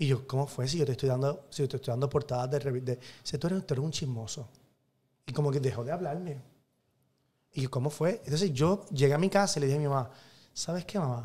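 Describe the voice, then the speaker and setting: In a Puerto Rican accent, a man speaks very fast in a fairly high pitch, somewhat breathy, with a dark, mellow tone. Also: ordinary pitch variation. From Puerto Rico, Carolina. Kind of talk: casual interview chat. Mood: animated storytelling. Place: studio. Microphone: studio mic.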